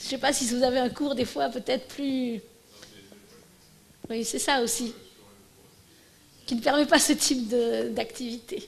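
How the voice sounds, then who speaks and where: Talking at a fairly slow pace, a woman leaves long, frequent pauses. Her pitch is high, and room echo is audible. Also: ordinary pitch variation. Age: 60s. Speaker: professor giving a conference. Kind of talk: Q&A after lecture. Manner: halting, many false starts.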